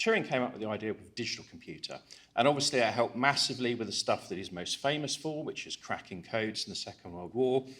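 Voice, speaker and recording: Speaking at a very fast pace, the man lets his volume rise and fall in big swings. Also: medium pitch for a man, ordinary pitch variation. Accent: English. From England. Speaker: cybersecurity conference speaker. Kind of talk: conference talk.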